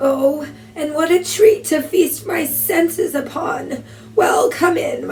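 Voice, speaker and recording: A raspy, female-sounding put-on character voice at an extremely high pitch and a fairly slow pace, with clear background noise. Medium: read story. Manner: knowing, teasing.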